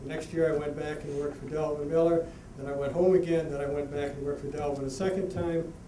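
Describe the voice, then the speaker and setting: Against noticeable background noise and audible room echo, a man with an American accent speaks in a flat monotone at a fairly high pitch. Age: 60s. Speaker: harness racing horseman. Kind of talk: award acceptance speech. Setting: banquet with audience. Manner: halting, repetitive.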